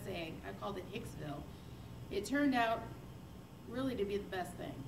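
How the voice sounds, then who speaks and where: Someone with an American accent talks at a fairly quick pace, with noticeable background noise and audible room echo. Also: woman. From northwest Indiana, Chicagoland. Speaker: church member giving testimony. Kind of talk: testimony. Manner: loud.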